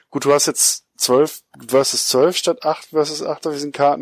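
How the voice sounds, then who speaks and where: Recorded dry and close with no echo, an unremarkable speaking voice moves at a moderate pace. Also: man. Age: 40s. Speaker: podcast co-host. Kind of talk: casual chat.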